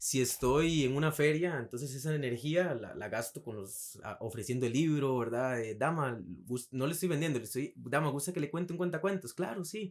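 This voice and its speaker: Speaking with hardly any pauses, a man uses a fairly high pitch and ordinary pitch variation. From Costa Rica, Alajuela. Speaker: writer. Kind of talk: casual interview. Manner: fast; energetic.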